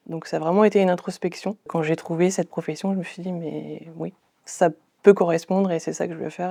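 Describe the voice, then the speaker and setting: A woman speaks with monotone, flat intonation at a fairly low pitch. The background is quiet. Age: 30s. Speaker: medical information technician, former chef. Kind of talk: interview testimony. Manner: hesitant, frequent fillers.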